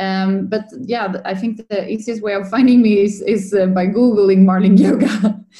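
A woman with a Swedish accent speaks at a moderate pace and a medium pitch. Her intonation is flat and monotone, with hardly any pauses. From Sweden, Linköping. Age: 30s. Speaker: yoga coach. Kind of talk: interview, personal story. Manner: halting, many fillers.

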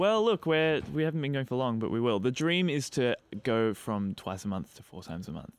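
At a fairly quick pace, the speaker uses an Australian accent with very wide pitch swings. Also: man, medium pitch for a man. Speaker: podcast host. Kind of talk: casual interview chat.

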